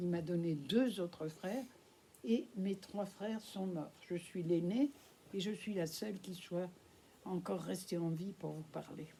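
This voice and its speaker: Somewhat breathy and dark, mellow in tone, a woman speaks very slowly at a medium pitch. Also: ordinary pitch variation. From France. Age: 80s+. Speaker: Holocaust witness speaking at schools. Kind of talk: testimony to school pupils. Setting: school classroom with pupils.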